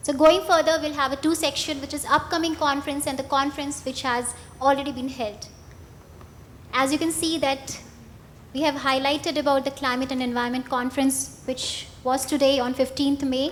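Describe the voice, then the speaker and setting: At a moderate pace, a woman speaks in a high pitch. Her intonation is fairly even. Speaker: event organizer. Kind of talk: presentation.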